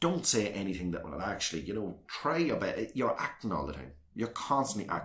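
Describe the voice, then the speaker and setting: A man with a Northern Irish accent speaks at a fairly quick pace in a fairly low voice with vocal fry and very wide swings in pitch. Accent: South Armagh Northern Irish. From Northern Ireland, South Armagh. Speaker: local councillor. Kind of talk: interview.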